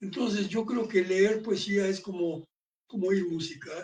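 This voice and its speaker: This man's voice sits high in pitch. The intonation remains fairly even. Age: 80s+. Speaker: book presenter. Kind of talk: book presentation talk.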